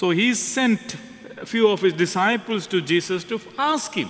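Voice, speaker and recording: A man speaks fairly slowly in a high voice with lively intonation. Noticeable background noise sits behind him. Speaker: priest. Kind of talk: homily. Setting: church.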